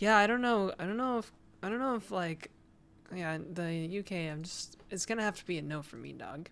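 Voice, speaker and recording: This woman's voice sits at a medium pitch with lively intonation. Her loudness swings widely. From New Brunswick, Canada. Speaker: game developer streamer. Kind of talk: casual livestream chat.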